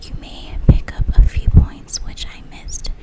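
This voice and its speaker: The speaker, a woman, talks in a whisper. Clear background noise accompanies her. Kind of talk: whispered audiobook-style reading of a mystery novel. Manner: whispered.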